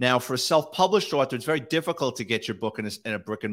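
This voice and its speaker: A man with a New York accent talks at a very fast pace and medium pitch, with lively intonation. The recording is very clean with a silent background. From New York City, the Bronx. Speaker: retired police detective and author. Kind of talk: interview. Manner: casual, uses fillers.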